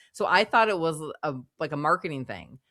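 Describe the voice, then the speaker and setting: In a Minnesotan accent, a woman with a fairly low pitch and a bright, sharp tone speaks with lively intonation on a very clean recording with a silent background. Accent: Minnesota. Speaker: podcast co-host. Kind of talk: casual chat. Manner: halting, with restarts.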